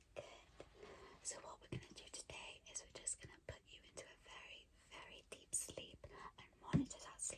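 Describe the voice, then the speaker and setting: A woman is whispering. She keeps a moderate pace. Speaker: ASMR artist, roleplaying a sleep clinic relaxation therapist. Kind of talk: ASMR roleplay, personal attention. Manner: soft-spoken, whispered, calming.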